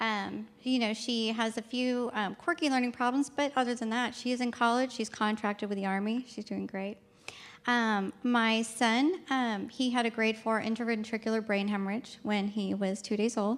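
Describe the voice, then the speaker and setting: On a very clean recording with a silent background, a woman talks at a moderate pace. Her pitch is fairly high and her intonation fairly even. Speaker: nursing student. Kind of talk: personal story talk. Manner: hesitant, many fillers.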